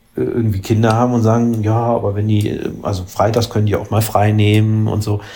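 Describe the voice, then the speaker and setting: Somewhat breathy, the voice proceeds at a moderate pace. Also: man. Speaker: politician and podcast co-host. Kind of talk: casual chat. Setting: remote call between cities. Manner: halting, many fillers.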